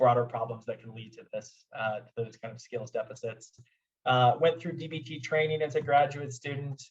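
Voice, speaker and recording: A man with an American accent speaks at a moderate pace and sounds somewhat breathy. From US Midwest, Omaha, Nebraska. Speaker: clinical psychologist / therapist. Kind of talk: lecture. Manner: halting, many fillers and repeats.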